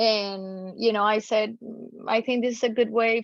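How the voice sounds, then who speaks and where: A woman with a Spanish accent speaks at a moderate pace in a fairly high voice, her intonation flat and monotone. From Colombia. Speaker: tax attorney. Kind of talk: podcast interview.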